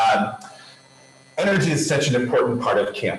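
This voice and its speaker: Booming and lively in intonation, a man's voice carries through audible room echo and noticeable background noise. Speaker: camp director giving keynote. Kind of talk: keynote presentation over video. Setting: video conference from a room in a health center. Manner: loud.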